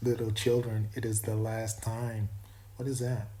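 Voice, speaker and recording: Amid audible room echo, a man speaks at a moderate pace in a somewhat breathy, dark, mellow voice with monotone, flat intonation. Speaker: YouTuber drawing artwork. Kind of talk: casual monologue while drawing.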